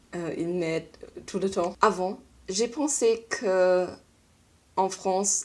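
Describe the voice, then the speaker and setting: In a strong German accent, a woman speaks at medium pitch with a dark, mellow tone and fairly even intonation. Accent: strong foreign (German) accent in French. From Germany. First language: German (speaking French). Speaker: vlogger. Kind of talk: casual vlog monologue. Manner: halting, with hesitations.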